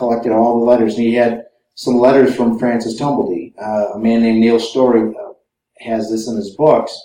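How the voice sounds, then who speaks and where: A man talks in an American accent with a dark, mellow tone at a medium pitch. Audible room echo surrounds his voice. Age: 50s. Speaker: author and researcher. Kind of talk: lecture.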